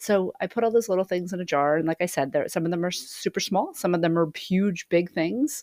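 With a plain, everyday voice, a woman talks fairly quickly at medium pitch with ordinary pitch variation and hardly any pauses, in a dry, close sound with no echo. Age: 50s. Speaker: podcast host, sound healer. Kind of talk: solo podcast monologue. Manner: casual with frequent fillers.

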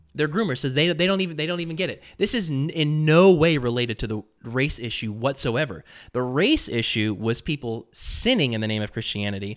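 A man talks at a fairly quick pace with hardly any pauses. His voice is a plain, everyday voice, pitched fairly high. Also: lively intonation. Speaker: commentary podcaster. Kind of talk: angry rant, indignant preacher-like denunciation with scornful name-calling. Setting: studio, reacting to a video clip. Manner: vehement, contemptuous, sermonizing.

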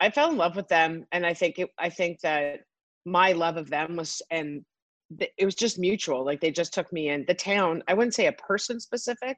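Dry, close sound with no echo, a quiet background, moderate pace and ordinary pitch variation. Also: woman, fairly low pitch for a woman. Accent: Canadian. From Canada, Toronto. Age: 40s. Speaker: chef and restaurateur. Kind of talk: interview. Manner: animated.

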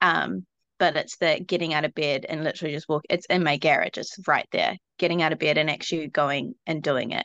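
Against a quiet background, a woman with a New Zealand accent talks at a fairly quick pace in a very deep, low pitch, showing a bright, sharp tone, vocal fry and ordinary pitch variation, with a dry, close sound and no echo. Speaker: shop owner, parent. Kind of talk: group coaching call. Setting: phone video call.

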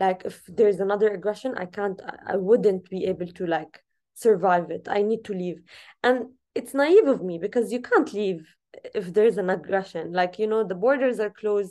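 A woman with an Arabic accent speaks at a moderate pace and medium pitch, with a dark, mellow tone, ordinary pitch variation and a quiet background. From Gaza, Palestine. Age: 20s. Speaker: activist and journalist. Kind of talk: interview.

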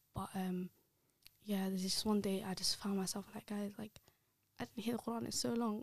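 A woman with a London accent talks at a fairly quick pace at a medium pitch. Her voice is somewhat breathy, and she takes long, frequent pauses. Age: 20s. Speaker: podcast guest. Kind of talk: casual chat. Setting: studio. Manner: animated.

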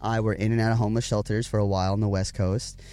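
Very fast, monotone, flat delivery from a man at a medium pitch, in an American accent. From Richmond, Virginia. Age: 20s. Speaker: lead singer of a band. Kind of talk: casual chat. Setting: in a parked tour van. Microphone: in-person recording, good quality.

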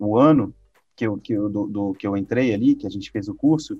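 With ordinary pitch variation and a dark, mellow tone, a man talks against a quiet background. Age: 30s. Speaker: presentation design instructor. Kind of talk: casual interview.

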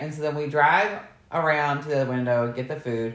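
A woman's very deep, low voice, animated in tone with lively intonation, in audible room echo. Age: 40s. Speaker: podcast co-host. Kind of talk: casual chat.

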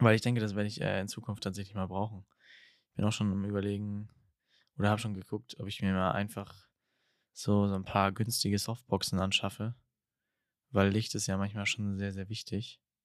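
A man with a fairly low pitch speaks at a fairly quick pace in a monotone with flat intonation, leaving long, frequent pauses, on a very clean recording with a silent background. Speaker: podcast host. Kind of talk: casual chat. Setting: indoors at home, window open. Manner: hesitant, many filler sounds.

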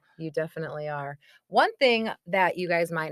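Recorded with a dry, close sound and no echo, an unremarkable speaking voice moves at a fairly quick pace. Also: woman. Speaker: podcast host. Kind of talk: casual chat.

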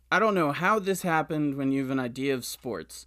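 On a very clean recording with a silent background, a man with a plain, everyday voice speaks at a fairly high pitch with ordinary pitch variation. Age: 20s. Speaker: podcast host. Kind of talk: interview.

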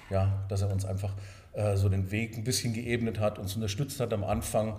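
Audible room echo surrounds a man with a fairly low pitch. He moves at a fairly quick pace with fairly even intonation. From Swabia, southern Germany (Sindelfingen near Stuttgart). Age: 50s. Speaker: hotel owner. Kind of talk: interview.

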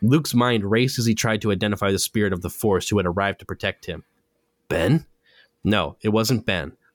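Fairly low in pitch, a man talks at a fairly quick pace on a very clean recording with a silent background. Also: ordinary pitch variation. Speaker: podcast host. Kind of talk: casual chat; literary audiobook reading. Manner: animated, fast, casual.

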